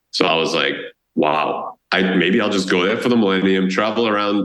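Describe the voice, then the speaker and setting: A Boston accent at a moderate pace, with audible room echo. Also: man. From Boston area, US. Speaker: travel blogger and tour founder. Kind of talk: podcast interview.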